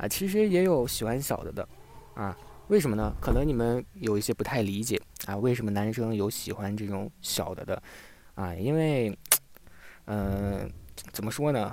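Lively intonation at a moderate pace, broken by long, frequent pauses. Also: man, medium pitch for a man. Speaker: livestream host. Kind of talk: casual chat. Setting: live stream. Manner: hesitant, many fillers.

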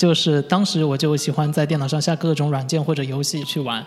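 A somewhat breathy man speaks at a fairly high pitch. His pace is fairly quick and his intonation fairly even. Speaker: UI designer. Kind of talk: interview. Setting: studio. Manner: halting, many fillers.

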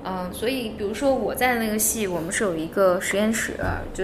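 A woman's medium-pitched voice at a fairly quick pace, ordinary pitch variation, audible room echo and noticeable background noise. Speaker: psychology researcher. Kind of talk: casual chat.

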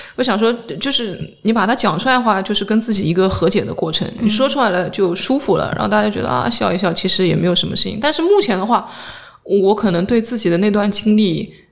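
Over noticeable background noise and audible room echo, a woman talks at a very fast pace. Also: medium pitch for a woman, ordinary pitch variation. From southern China, Jiangsu-Zhejiang-Shanghai region. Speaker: stand-up comedian. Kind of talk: casual chat.

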